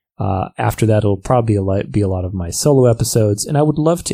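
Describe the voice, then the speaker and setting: At a fairly quick pace, a man talks in a fairly low, somewhat breathy voice with a dark, mellow tone, on a very clean recording with a silent background. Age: 30s. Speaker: podcast host and professional dancer. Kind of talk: solo podcast monologue. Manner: animated.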